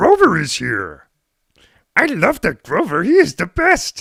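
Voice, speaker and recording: A put-on character voice delivers lines at a fairly slow pace. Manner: excitable, cartoonish.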